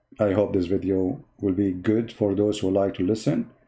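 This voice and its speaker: A man with an Arabic accent, a fairly low pitch and a dark, mellow tone, on a very clean recording with a silent background. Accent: Arabic accent, non-native English. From Middle East. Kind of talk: polemical monologue. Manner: animated, mocking.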